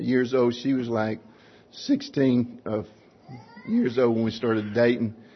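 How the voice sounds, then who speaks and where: Over noticeable background noise, a man talks at a fairly slow pace in a medium-pitched, monotone, flat delivery. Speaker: church member giving testimony. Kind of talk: testimony. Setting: church.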